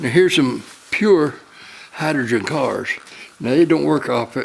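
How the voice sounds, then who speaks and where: With a Tennessee accent and a fairly high pitch, a man speaks at a fairly slow pace over noticeable background noise. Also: ordinary pitch variation. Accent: Tennessee Southern US. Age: 80s+. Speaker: amateur inventor. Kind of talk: casual chat. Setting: workshop. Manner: halting.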